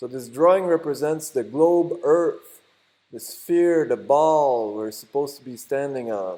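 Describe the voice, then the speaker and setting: In a French Canadian accent, a man speaks fairly slowly with a fairly high pitch and ordinary pitch variation. His tone is dark and mellow, and his loudness swings widely. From Quebec. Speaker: YouTuber. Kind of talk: tutorial. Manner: halting.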